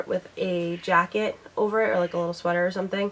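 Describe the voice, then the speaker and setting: Someone with an American accent talks at a very fast pace with ordinary pitch variation over noticeable background noise. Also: woman. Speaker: beauty and lifestyle vlogger. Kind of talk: casual haul video monologue. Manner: chatty, rambling.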